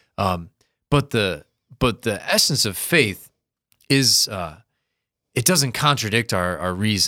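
In an Upper Midwest accent, the voice has a bright, sharp tone and lively intonation. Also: man. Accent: Upper Midwest American. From US Midwest, Sioux Falls, South Dakota. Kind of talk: casual explanatory discussion.

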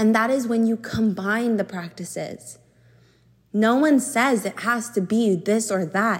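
A woman's fairly high voice, fairly slow in pace, with ordinary pitch variation. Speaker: podcast host and somatic coach. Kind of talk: solo monologue podcast. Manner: loud.

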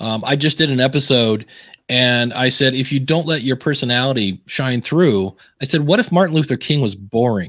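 A man at a medium pitch and moderate pace, ordinary pitch variation, a normal speaking voice. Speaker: podcaster and author. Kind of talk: casual interview chat. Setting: live stream video call.

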